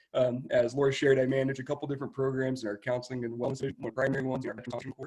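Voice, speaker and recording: A man's somewhat breathy, medium-pitched voice, very fast and monotone, with flat intonation. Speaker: state veterans program manager. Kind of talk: presentation. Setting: video call.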